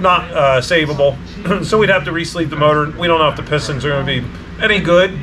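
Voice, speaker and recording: A man talks at a fairly quick pace amid noticeable background noise. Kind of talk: casual vlog chat. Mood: relaxed, matter-of-fact. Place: garage.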